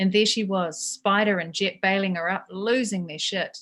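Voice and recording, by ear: With a medium pitch and fairly even intonation, a woman speaks at a moderate pace. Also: fairly bright tone.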